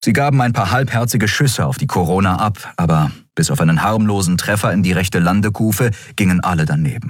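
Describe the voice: Intonation is lively throughout this plain reading aloud.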